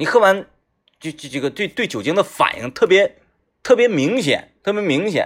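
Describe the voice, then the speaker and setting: On a very clean recording with a silent background, the speaker sounds animated, the pitch swinging very widely. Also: man, high pitch for a man, moderate pace. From Northeast China. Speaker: radio host. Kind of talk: casual monologue.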